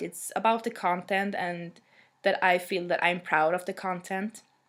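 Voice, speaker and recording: Speaking with a Swedish accent at a fairly slow pace, this voice comes through on a very clean recording with a silent background. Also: woman. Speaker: music blogger. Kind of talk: casual vlog monologue. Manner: halting, many fillers.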